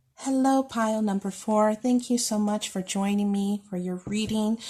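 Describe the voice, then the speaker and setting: Her voice is fairly high in pitch, somewhat breathy, with a dark, mellow tone. The woman is recorded very cleanly against a silent background. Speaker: tarot reader. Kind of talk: pick-a-card tarot reading.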